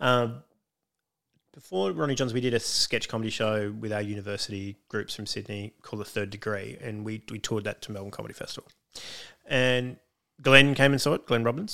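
With a bright, sharp tone, a man talks at a fairly quick pace in a fairly low pitch, with ordinary pitch variation and big swings in loudness. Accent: Australian. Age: 40s. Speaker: comedian. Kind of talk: casual chat.

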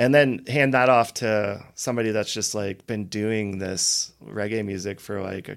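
A plain, everyday voice from a man with an American accent, fairly low in pitch, with fairly even intonation and a moderate pace, on a very clean recording with a silent background. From Colorado, Loveland. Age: 30s. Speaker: reggae singer and songwriter. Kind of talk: casual chat.

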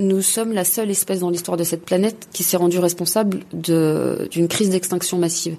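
Very fast and monotone, a woman speaks with flat intonation in a dark, mellow tone. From Paris suburbs, France (Gennevilliers). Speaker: environmental activist, NGO president. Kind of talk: interview. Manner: hesitant with frequent fillers.

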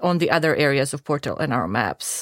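A woman with a Croatian accent, very deep and low-pitched, at a moderate pace, in a dry, close sound with no echo and a very clean recording with a silent background. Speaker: video game producer. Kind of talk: casual chat.

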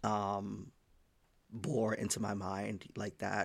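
With an American accent, a man speaks in a monotone, flat delivery at fairly low pitch with vocal fry, recorded very cleanly against a silent background. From Haiti, then Massachusetts from age 10. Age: 20s. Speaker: software engineer. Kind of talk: casual chat.

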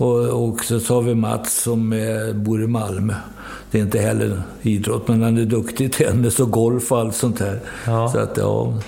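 Monotone, flat intonation and very even loudness come at a moderate pace, with noticeable background noise and audible room echo. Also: man, medium pitch for a man. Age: 70s. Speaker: football coach. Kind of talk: interview. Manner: halting.

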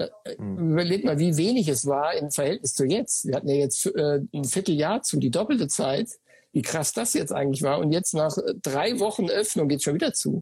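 A man talks at a moderate pace in a plain, everyday voice. His intonation is lively and his loudness very even. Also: fairly high pitch for a man. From Sauerland, Germany. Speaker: running shop owner. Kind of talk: casual interview. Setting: Instagram live video call.

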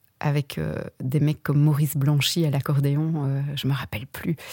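Speaking at a fairly slow pace, a woman with a very deep, low pitch has a dark, mellow tone in a dry, close sound with no echo. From Belgium, Verviers. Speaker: actress and former opera singer. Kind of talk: radio interview.

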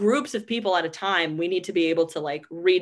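The speaker has a plain, everyday voice, talking at a moderate pace with ordinary pitch variation against a quiet background. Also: woman. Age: 20s. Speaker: podcast host and comedian. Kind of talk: casual chat. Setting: home recording in bedroom.

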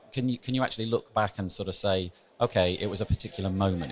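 This man talks at a fairly quick pace with a fairly low pitch. His voice is somewhat breathy. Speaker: podcast host. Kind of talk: interview chat. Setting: conference corridor.

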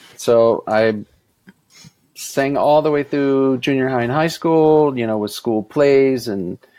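Music plays in the background as a man speaks at a very slow pace. His pitch is medium, with fairly even intonation. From Mississippi, US South. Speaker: session singer and voice teacher. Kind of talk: casual interview answers.

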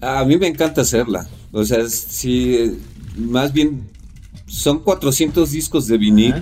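A man's very slow, lively-intoned delivery, dark and mellow in tone, with vocal fry and very even loudness. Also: medium pitch for a man. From Mexico City. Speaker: curator and artist. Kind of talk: casual interview chat.

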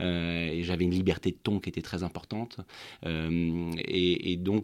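Recorded very cleanly against a silent background, a man speaks at a very deep, low pitch. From Normandy, France. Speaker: wine estate director. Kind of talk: interview. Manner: halting, many repetitions.

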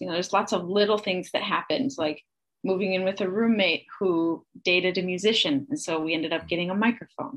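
Against a quiet background, a woman with a medium pitch talks at a fairly quick pace. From US Midwest, rural Wisconsin. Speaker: singer-songwriter and actor. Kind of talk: casual interview chat.

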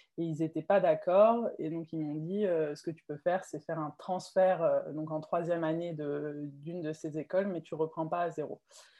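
A woman with an unremarkable speaking voice talks at a moderate pace with hardly any pauses. Her pitch is fairly low, her intonation fairly even, and her loudness swings widely. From France, Alsace (Mulhouse). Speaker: swimwear brand founder. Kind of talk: interview.

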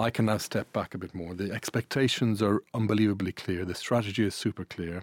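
On a very clean recording with a silent background and a dry, close sound with no echo, a man speaks at a fairly low pitch and a fairly quick pace with fairly even intonation and hardly any pauses. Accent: Irish. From Ireland and Italy. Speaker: media executive. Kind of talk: interview.

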